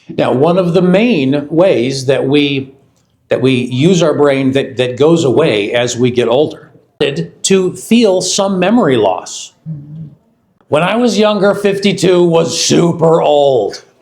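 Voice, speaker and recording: Speaking at a very slow pace with an American accent, a man with a fairly high pitch uses lively intonation at very even loudness, with audible room echo. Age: 50s. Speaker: company research executive. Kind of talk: product launch presentation.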